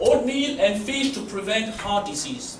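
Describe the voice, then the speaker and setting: Speaking fairly slowly in a French accent, a man uses a high pitch amid noticeable background noise and audible room echo. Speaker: university lecturer. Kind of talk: lecture.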